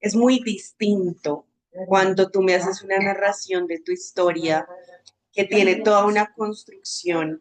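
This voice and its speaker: A woman's medium-pitched voice, fairly slow in pace, with fairly even intonation. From Bogotá, Colombia. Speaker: social communicator and agency director. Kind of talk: webinar talk.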